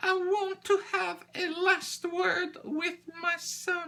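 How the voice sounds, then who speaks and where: Put-on character voice in a French accent, extremely high, at a very slow pace. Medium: read story. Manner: theatrical.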